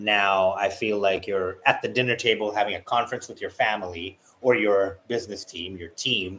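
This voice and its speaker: In a very clean recording with a silent background, a man with a fairly low pitch and a bright, sharp tone speaks at a moderate pace, his intonation fairly even while his loudness swings widely. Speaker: tarot reader. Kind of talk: tarot reading.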